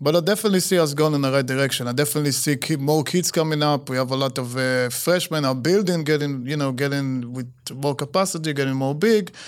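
With an Israeli accent, a man speaks at a very fast pace with hardly any pauses, a fairly high pitch and ordinary pitch variation. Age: 40s. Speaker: soccer coach. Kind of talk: casual interview. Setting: studio.

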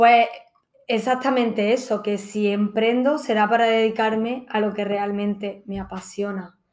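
A woman's plain, everyday voice, fairly high in pitch, with fairly even intonation at a fairly slow pace. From Granada, Andalusia, Spain. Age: 30s. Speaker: yoga teacher and hotel entertainment manager. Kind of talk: casual chat.

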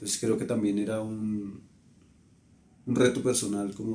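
A man speaks at a moderate pace with a fairly low pitch. His tone is dark and mellow, delivered in a flat monotone. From Colombia. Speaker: photographer. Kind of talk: interview.

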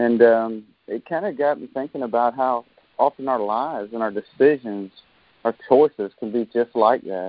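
Moderate pacing from a man at medium pitch, an ordinary speaking voice with ordinary pitch variation. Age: 40s. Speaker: devotional speaker. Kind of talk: devotional talk.

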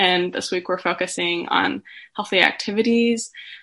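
A woman's voice of medium pitch, bright and sharp in tone, at a moderate pace with fairly even intonation. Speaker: student podcast host. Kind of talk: interview. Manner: hesitant, many fillers.

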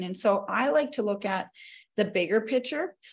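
With an American accent, a woman talks in a plain, everyday voice with ordinary pitch variation. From North Dakota, US. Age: 40s. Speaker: exercise physiologist and personal trainer. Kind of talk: casual interview chat.

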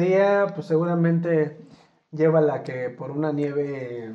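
Speaking at a very slow pace, a man with a fairly high pitch and ordinary pitch variation is heard in audible room echo. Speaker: podcast host. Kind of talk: casual chat.

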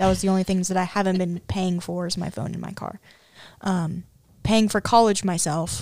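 In a very clean recording with a silent background, a woman with a plain, everyday voice speaks at a fairly quick pace and a fairly low pitch, with ordinary pitch variation. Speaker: college student. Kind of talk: casual chat. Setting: studio.

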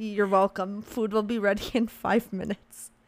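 A woman's put-on character voice, hoarse and monotone with flat intonation, at a medium pitch and moderate pace

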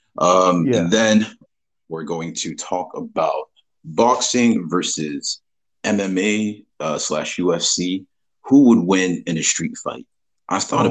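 Long, frequent pauses break up a man's very slow speech, pitched fairly low. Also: ordinary pitch variation. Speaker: podcast host.

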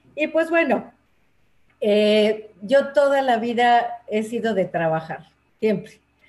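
Speaking at a very slow pace, a woman uses lively intonation in a fairly high pitch. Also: long, frequent pauses. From Mexico City. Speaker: teacher and workshop leader for older adults. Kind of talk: interview conversation. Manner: hesitant, many fillers.

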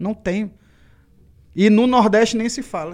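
In a very clean recording with a silent background, a man talks at a fairly slow pace with a high pitch. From Ceará, Brazil. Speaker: rapper. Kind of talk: casual chat. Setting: studio.

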